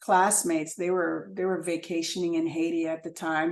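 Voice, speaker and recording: A woman speaks at a moderate pace with fairly even intonation. She has an unremarkable speaking voice. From US, Chicago South Side, Haitian immigrant parents. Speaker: photographer and filmmaker. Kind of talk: interview.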